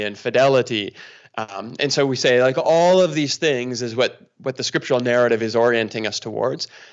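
A man with a Canadian accent talks in a normal speaking voice at a moderate pace, medium pitch and ordinary pitch variation. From Canada, near Toronto. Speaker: pastor. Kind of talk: casual interview conversation.

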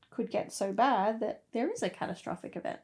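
A woman speaks with an Australian accent. Her pitch is high. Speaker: podcast host. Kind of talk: casual chat.

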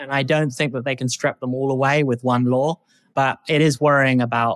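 Delivered at a moderate pace with a British accent. The sound is dry and close with no echo, on a very clean recording over a silent background. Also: man. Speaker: startup founder. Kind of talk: interview.

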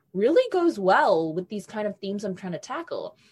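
A woman with a New Zealand accent speaks at a medium pitch with very wide pitch swings. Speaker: young adult novelist. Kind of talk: interview.

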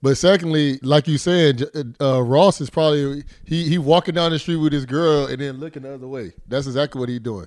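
In a normal speaking voice, a man talks fairly quickly at a fairly high pitch with ordinary pitch variation. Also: big swings in loudness, very clean recording, silent background. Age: 20s. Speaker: former NFL player and football pundit. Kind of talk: casual sports talk.

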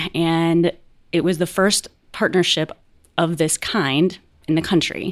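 In a very clean recording with a silent background, a woman with an American accent speaks at a fairly slow pace, with long, frequent pauses, monotone, flat intonation and very even loudness. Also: fairly low pitch for a woman. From US South. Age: 40s. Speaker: magazine editor. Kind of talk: casual chat.

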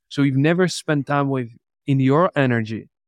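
A man speaks with a Czech accent. The sound is dry and close, with no echo. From Czech Republic. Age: 20s. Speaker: entrepreneur. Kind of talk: interview. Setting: video call.

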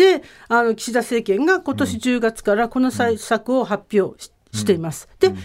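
A plain, everyday voice from a woman, fairly high in pitch, at a moderate pace, with lively intonation and big swings in loudness. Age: 50s. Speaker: radio commentator and university professor. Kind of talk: radio commentary segment.

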